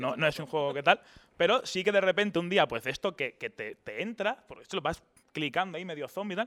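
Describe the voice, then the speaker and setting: The speech is very fast, with lively intonation and big swings in loudness. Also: man, high pitch for a man. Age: 20s. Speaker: YouTuber. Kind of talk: casual interview.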